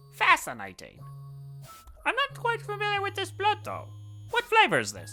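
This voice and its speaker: Clear music plays in the background of a put-on character voice. The pace is moderate, with long, frequent pauses. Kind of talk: comic overacting. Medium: actual play. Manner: pompous, theatrical.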